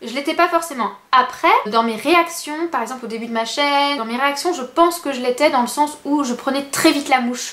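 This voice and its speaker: At a moderate pace with hardly any pauses, a woman speaks in a high pitch with ordinary pitch variation. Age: 20s. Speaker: beauty and lifestyle youtuber. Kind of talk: casual vlog talking to camera. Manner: soft-spoken; hesitant, many fillers.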